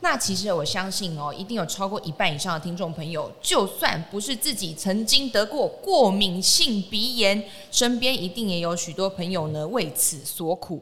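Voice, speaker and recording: With lively intonation, the speaker keeps a moderate pace with hardly any pauses over noticeable background noise. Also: woman, medium pitch for a woman. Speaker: podcast host. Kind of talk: casual health interview. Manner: animated.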